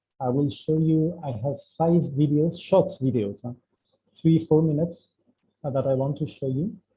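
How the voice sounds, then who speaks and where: At a moderate pace, a man talks with ordinary pitch variation. His pitch is fairly high. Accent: French. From France. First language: French. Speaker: spiritual speaker. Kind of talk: online talk. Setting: video call. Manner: halting.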